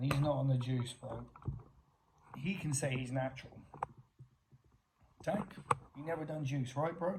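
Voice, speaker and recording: With an American accent, a man talks at a moderate pace and medium pitch with ordinary pitch variation, leaving long, frequent pauses amid audible room echo. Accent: English, sometimes slips into American. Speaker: YouTuber. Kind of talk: confrontational vlog rant.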